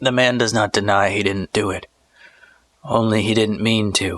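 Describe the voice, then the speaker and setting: Using a raspy, put-on character voice, a man speaks at fairly low pitch and a moderate pace with fairly even intonation, the sound dry and close with no echo. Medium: read story. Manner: calm, detached, politely formal.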